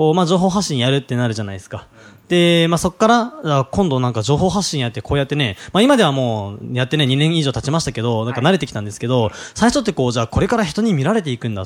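In a very clean recording with a silent background, a man talks very fast with a fairly high pitch and very wide pitch swings. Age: 20s. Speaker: podcast host, business coach. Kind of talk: casual chat.

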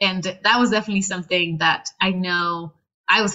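A woman with a Spanish accent speaks at a fairly quick pace, her medium-pitched voice held in a flat, monotone line. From northern Mexico, Reynosa. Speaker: PhD student in biomedical engineering. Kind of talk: interview.

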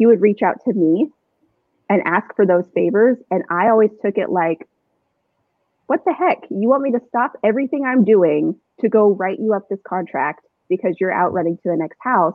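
With a Southwestern US accent, a woman talks at a moderate pace and medium pitch, her intonation lively. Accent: General American (Southwest). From Arizona, Chandler/Gilbert. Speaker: real estate agent. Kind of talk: casual chat.

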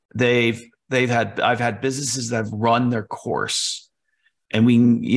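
Vocal fry marks a man's voice at medium pitch. He keeps a monotone, flat intonation at a moderate pace. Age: 50s. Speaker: entrepreneur. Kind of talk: interview. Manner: halting.

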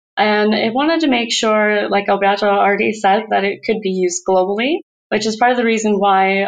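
A woman with an American accent and an unremarkable speaking voice talks at a moderate pace, with a medium pitch and ordinary pitch variation. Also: very even loudness. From United States. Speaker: research scientist. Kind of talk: interview.

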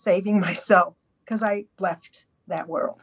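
A woman speaks at a fairly slow pace with a fairly high pitch. Her voice is somewhat breathy. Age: 60s. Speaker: podcast guest sharing eating disorder recovery story. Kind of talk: testimony. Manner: halting.

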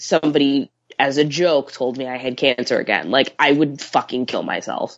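In an American accent, a woman talks at a very deep, low pitch. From US Midwest, Chicago area. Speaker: horror film writer. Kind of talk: casual chat.

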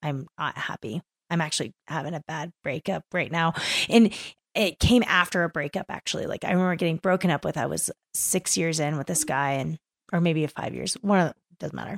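A woman with an American accent, animated and with vocal fry, ordinary pitch variation, dry and close with no echo, on a very clean recording with a silent background. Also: fairly low pitch for a woman, fairly quick pace. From East Texas, Kingwood. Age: 30s. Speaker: climbing guide. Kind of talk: casual interview. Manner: animated, laughing often.

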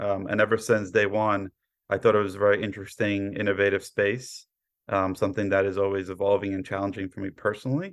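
Speaking very fast in an American accent, a man uses a fairly low pitch and monotone, flat intonation against a quiet background. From New York, Brooklyn. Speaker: cyber insurance underwriter. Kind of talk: interview.

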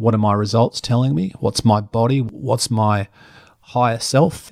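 In a very clean recording with a silent background and a dry, close sound with no echo, a man speaks at a moderate pace with an Australian accent. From rural Australia. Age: 50s. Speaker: presenter and personal trainer. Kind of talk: interview. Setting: home studio. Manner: animated.

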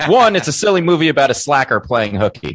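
On a very clean recording with a silent background and a dry, close sound with no echo, a man talks at a fairly quick pace with a fairly high pitch, very wide pitch swings and vocal fry. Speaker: podcast co-host. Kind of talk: casual chat.

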